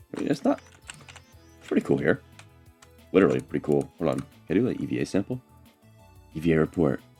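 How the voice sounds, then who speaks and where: With music in the background, a man with a very deep, low pitch speaks at a very fast pace with lively intonation, broken by long, frequent pauses. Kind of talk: casual gameplay commentary. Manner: casual, hesitant, with filler words.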